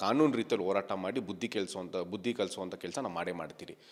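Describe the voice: A man with ordinary pitch variation.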